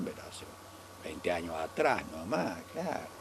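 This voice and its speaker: A man's pitch swings very widely as he talks at a moderate pace, with noticeable background noise behind him. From Argentina, Córdoba province (small town). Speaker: elderly local resident recalling town history. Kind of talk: oral history interview. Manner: halting, with many repetitions.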